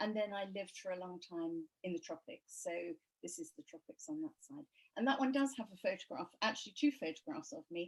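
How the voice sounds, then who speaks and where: A woman with an English accent speaks at a fairly quick pace in a medium, somewhat breathy voice. Her pitch swings very widely, and the sound is dry and close with no echo. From England. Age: 70s. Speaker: author. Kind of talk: interview.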